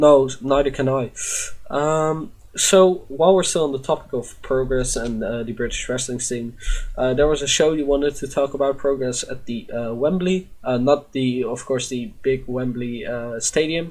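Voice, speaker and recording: With a Dutch accent, a fairly high-pitched man talks at a moderate pace with ordinary pitch variation. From Netherlands. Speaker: podcast host. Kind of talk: casual chat. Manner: halting, many fillers.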